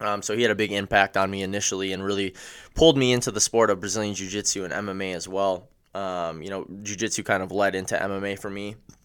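Over a very clean recording with a silent background, a man with an American accent talks at a very fast pace in a fairly low pitch, his intonation fairly even. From Wisconsin. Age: 20s. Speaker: MMA fighter. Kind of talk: casual interview.

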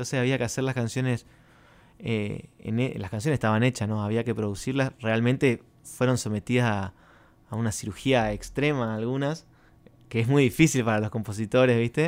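In an ordinary speaking voice, a man talks at a fairly quick pace with medium pitch and ordinary pitch variation. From Argentina, Resistencia, Chaco. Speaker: singer-songwriter. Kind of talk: radio interview. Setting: studio.

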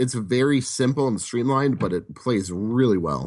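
A man speaks with an American accent at medium pitch. He has an ordinary speaking voice with lively intonation. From Wisconsin. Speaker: board game convention staffer. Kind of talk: casual chat.

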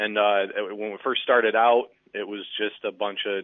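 A man's fairly low voice with a Midwestern American accent. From Michigan (Muskegon). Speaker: sports recruiting writer. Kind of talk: casual chat. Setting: phone call.

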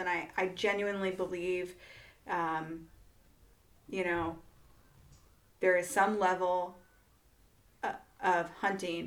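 Speaking with a slight Iowa accent, a woman uses a medium pitch and fairly even intonation. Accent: Iowa twang, slight. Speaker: podcast host. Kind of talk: casual interview.

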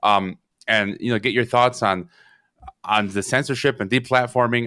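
A man's bright, sharp tone holds a fairly even intonation at a moderate pace. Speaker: radio show host. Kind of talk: interview. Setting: radio studio.

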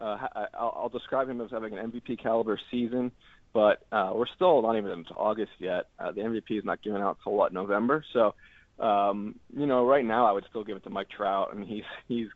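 This is an unremarkable speaking voice, moving at a fairly quick pace with fairly even intonation. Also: man, medium pitch for a man. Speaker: baseball beat writer. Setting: phone call.

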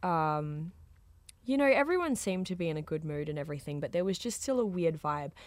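Lively in intonation, a woman speaks in a very clean recording with a silent background. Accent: Australian. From rural Australia. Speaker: DJ. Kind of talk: casual chat.

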